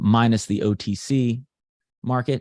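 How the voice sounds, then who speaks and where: Over a quiet background, a man speaks at a fairly slow pace with fairly even intonation, the sound dry and close with no echo. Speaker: stock trading educator. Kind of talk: live tutorial. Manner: casual, hesitant with fillers.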